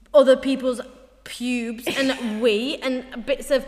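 Over noticeable background noise, a woman talks with a high pitch. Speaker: podcast co-host. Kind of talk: casual, chatty, swears freely.

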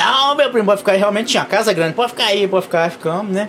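Against noticeable background noise, a man with a high voice talks very fast with ordinary pitch variation. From Brazil, Piauí (Valença do Piauí). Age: 40s. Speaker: truck driver. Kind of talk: casual interview.

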